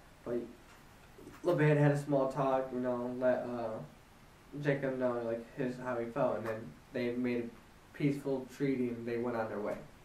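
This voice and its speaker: Audible room echo carries a man's medium-pitched voice, his intonation fairly even. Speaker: Bible reading vlogger. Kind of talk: casual chat. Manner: halting; casual.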